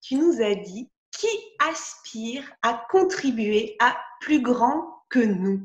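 Lively intonation marks the very slow pace of the speech. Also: woman, high pitch for a woman. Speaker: podcast host. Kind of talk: interview.

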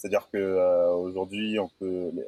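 Very deep and low in pitch, a man speaks in a dark, mellow tone. His intonation is monotone and flat, in a dry, close sound with no echo. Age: 20s. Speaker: moving company founder. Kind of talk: interview. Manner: halting.

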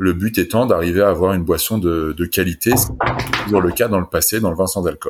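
Very deep and low, a man's voice moves at a fairly quick pace with ordinary pitch variation and hardly any pauses. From France. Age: 40s. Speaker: wine entrepreneur. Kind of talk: interview.

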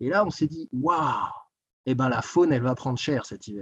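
A man's fairly slow speech carries ordinary pitch variation. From eastern France, Doubs (Jura). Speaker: public servant, ski resort area director. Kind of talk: interview. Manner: halting, many repetitions.

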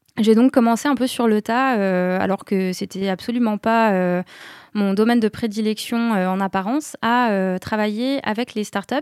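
In a fairly high voice, a woman with a plain, everyday voice talks at a fairly slow pace with fairly even intonation, her sound dry and close with no echo on a very clean recording with a silent background. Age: 30s. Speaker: office manager, former journalist. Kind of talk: interview.

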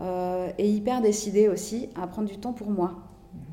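The voice has a dark, mellow tone and fairly even intonation at a moderate pace. Audible room echo surrounds it. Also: woman. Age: 40s. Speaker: cancer survivor. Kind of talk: interview testimony. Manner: hesitant, frequent fillers.

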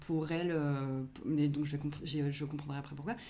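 A woman speaks with a very deep, low pitch and a dark, mellow tone. Audible room echo surrounds her voice. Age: 30s. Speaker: podcast creator, audiovisual production worker. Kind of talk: casual interview chat.

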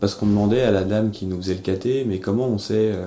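Fairly low pitch and fairly even intonation from a man. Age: 30s. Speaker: interviewee sharing personal beliefs. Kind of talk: personal testimony. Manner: halting, with frequent fillers.

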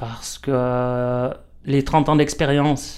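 The speaker is a man with a medium-pitched voice. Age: 50s. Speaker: stonemason. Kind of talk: casual interview. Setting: workshop.

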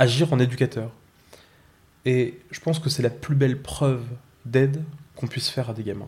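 At a moderate pace, a man talks in a somewhat breathy voice with fairly even intonation. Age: 20s. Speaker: school education counsellor. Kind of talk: personal testimony.

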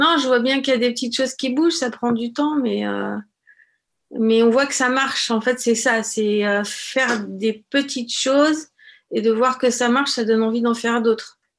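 A woman with a high pitch keeps her intonation fairly even. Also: moderate pace. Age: 40s. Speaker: childminder. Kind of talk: testimony. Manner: halting, many hesitations.

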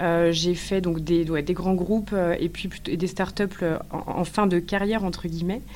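Her intonation monotone and flat, a woman talks at a fairly slow pace in a fairly low pitch. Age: 30s. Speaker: eco-anxiety support entrepreneur, former HR worker. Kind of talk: interview. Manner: hesitant, many fillers.

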